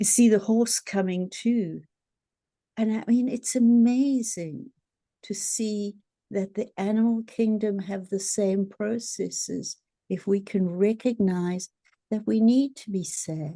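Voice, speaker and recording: A woman's medium-pitched, somewhat breathy voice with a dark, mellow tone, ordinary pitch variation, and a very slow pace. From South Africa. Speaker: therapist. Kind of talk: podcast interview.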